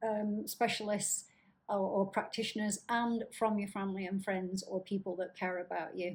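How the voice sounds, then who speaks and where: A woman with a Lancashire accent talks in a somewhat breathy voice. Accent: northern English (Lancashire). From northern England, Blackburn, Lancashire. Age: 50s. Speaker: chronic illness vlogger. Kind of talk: casual vlog talk. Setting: home apartment, downtown high rise.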